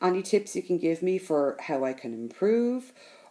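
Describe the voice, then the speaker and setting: This woman has a fairly low pitch and a dark, mellow tone. She talks at a moderate pace with a Dublin accent. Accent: Dublin Irish. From Ireland, Dublin. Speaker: crafting vlogger. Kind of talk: casual vlog talk to camera.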